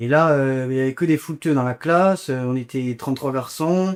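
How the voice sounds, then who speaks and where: A very clean recording with a silent background, a man at a fairly slow pace with ordinary pitch variation. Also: dry, close sound with no echo. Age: 20s. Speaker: business school student, former youth footballer. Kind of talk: interview testimony. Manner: hesitant, many fillers.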